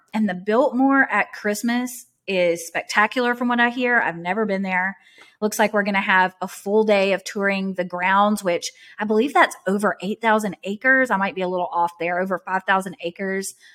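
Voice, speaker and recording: An ordinary speaking voice from a woman, medium in pitch, at a moderate pace with ordinary pitch variation. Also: dry, close sound with no echo. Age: 30s. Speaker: podcast co-host. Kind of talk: casual chat.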